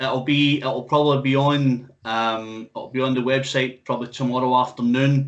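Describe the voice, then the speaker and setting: A man in a strong Scottish accent with monotone, flat intonation. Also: medium pitch for a man, moderate pace, hardly any pauses. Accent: thick Scottish. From Scotland. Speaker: music interviewer and radio host. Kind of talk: casual interview chat.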